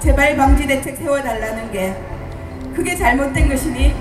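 Clear music plays in the background as a woman with a high pitch speaks at a fairly slow pace. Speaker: bereaved mother of a disaster victim. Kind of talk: letter reading at a memorial rally. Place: stage.

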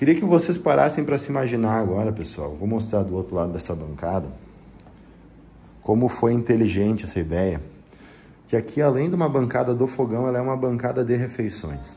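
With light background noise behind it, the speech runs at a fairly quick pace with lively intonation. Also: man. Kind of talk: property tour commentary. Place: home room. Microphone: phone near.

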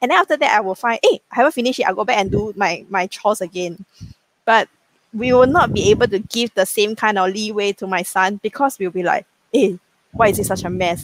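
At a fairly quick pace and with ordinary pitch variation, a woman speaks in a dry recording with no echo. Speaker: bank executive and business founder; guest. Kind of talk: casual chat. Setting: video call. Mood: relaxed, amused. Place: home room. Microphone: video call.

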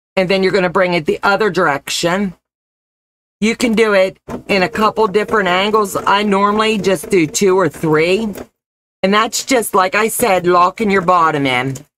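A woman with a warm tone talks at a moderate pace with ordinary pitch variation. Her loudness is very even, and there is light background noise. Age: 50s. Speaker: sewing and crafts channel host. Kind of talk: live-stream crafting tutorial. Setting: live stream. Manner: warm and chatty. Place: home room. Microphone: webcam.

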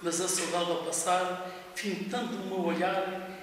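A man talks in a high pitch. There is strong room echo and light background noise. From Portugal. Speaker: retired driver, amateur poet. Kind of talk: poetry reading. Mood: wistful, nostalgic. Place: office.

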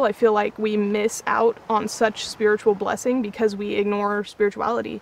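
A woman, recorded dry with no echo. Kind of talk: interview answer. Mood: earnest, heartfelt. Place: waterside. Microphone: lapel.

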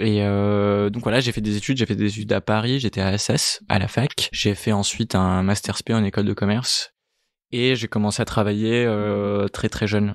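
A man's fairly low voice, monotone and flat, at very even loudness, with a dry, close sound with no echo over a quiet background. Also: moderate pace. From Italy, moved to France at 13. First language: Italian (speaking French). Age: 30s. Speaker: entrepreneur, startup co-founder. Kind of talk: interview conversation. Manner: hesitant, many fillers.

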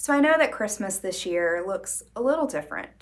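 The background stays quiet. A woman talks at a moderate speed. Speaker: librarian or storyteller. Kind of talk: story reading to children. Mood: warm, gentle, cheerful. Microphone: lapel.

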